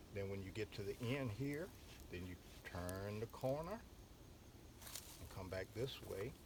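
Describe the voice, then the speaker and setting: Somewhat breathy and fairly low in pitch, a man talks at a fairly slow pace with long, frequent pauses and ordinary pitch variation. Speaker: basket maker. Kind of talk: hands-on craft teaching. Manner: patient, explanatory.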